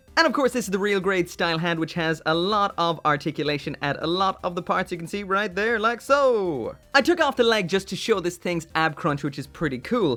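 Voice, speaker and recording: The speech runs at a fairly quick pace. There are hardly any pauses. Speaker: model kit reviewer. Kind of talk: product review tutorial. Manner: casual.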